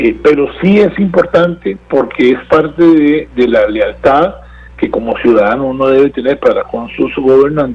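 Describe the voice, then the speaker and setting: Noticeable noise runs behind a man who speaks fairly slowly. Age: 60s. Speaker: political analyst. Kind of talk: interview. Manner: halting, many repetitions and fillers.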